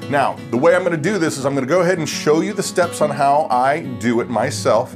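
A man talks fairly quickly while clear music sounds in the background. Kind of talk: tutorial. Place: home room.

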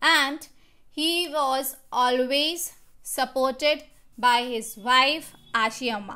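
A woman projects a raised, high-pitched voice with a bright, sharp tone, speaking at a very slow pace with ordinary pitch variation. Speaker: school teacher. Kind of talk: lecture. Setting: recorded online class video.

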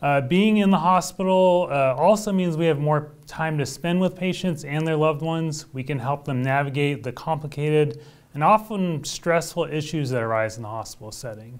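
Here a man talks with an American accent at a moderate pace. His fairly high pitch shows ordinary variation, with hardly any pauses. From Oklahoma, small town. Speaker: hospital physician. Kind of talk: interview. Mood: calm, earnest. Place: studio. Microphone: lapel.

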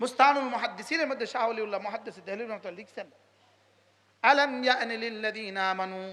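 A man's raised, projected, high voice, animated and bright, sharp in tone, with big swings in loudness and ordinary pitch variation. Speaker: Islamic preacher. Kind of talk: sermon.

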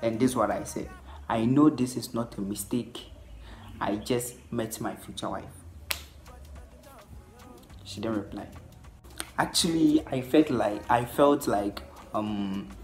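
A man at a fairly slow pace with ordinary pitch variation and long, frequent pauses, faint music in the background. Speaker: vlogger. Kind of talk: casual vlog chat. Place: home room. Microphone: phone near.

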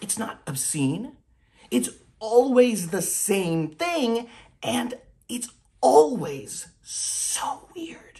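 A man's anxious shouting at a high pitch. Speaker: actor. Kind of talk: dramatic monologue self-tape, confessional and darkly comic. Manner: anxious, rambling confession with halting self-corrections; bursts into loud shouted outbursts. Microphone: phone near.

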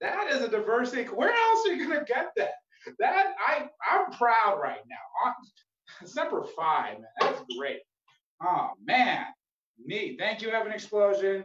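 With audible room echo, a man talks at a fairly slow pace in an extremely high pitch with very wide pitch swings. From Phoenix, Arizona; Arizona. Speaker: comedian and open mic host; open mic comedian. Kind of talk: casual hosting banter. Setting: video call. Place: home room. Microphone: handheld.

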